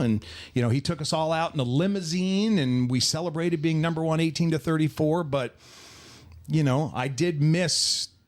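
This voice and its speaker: A man with an American accent speaks at a moderate pace with ordinary pitch variation and very even loudness, in an unremarkable speaking voice on a very clean recording with a silent background. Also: fairly high pitch for a man. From New Jersey. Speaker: radio DJ and stadium PA announcer. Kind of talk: interview answer.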